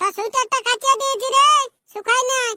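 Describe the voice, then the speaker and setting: In a cartoonish character voice, a woman squeaks at an extremely high pitch, with fairly even intonation and a moderate pace. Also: dry, close sound with no echo. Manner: sharp, scolding.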